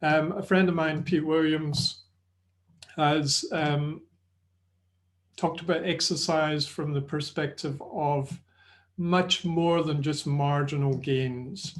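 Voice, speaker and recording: In a Scottish accent, a man with a fairly high pitch speaks at a very slow pace in monotone, flat intonation, with long, frequent pauses against a quiet background. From Scotland. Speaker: sports nutrition and exercise presenter. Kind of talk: webinar lecture. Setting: online webinar. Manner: hesitant, many fillers.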